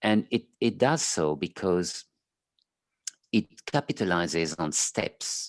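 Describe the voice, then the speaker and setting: The speech comes very slowly with a French accent, broken by long, frequent pauses. The sound is dry and close, with no echo. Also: man, very deep, low pitch for a man. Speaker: clinical psychologist. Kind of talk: interview. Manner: halting.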